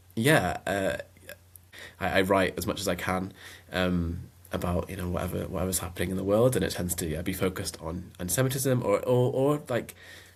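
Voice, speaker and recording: With a Mancunian accent, a man speaks at a fairly quick pace in a very deep, low pitch with ordinary pitch variation. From northern England, Manchester. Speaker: writer and filmmaker. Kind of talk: podcast interview. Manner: hesitant, many fillers.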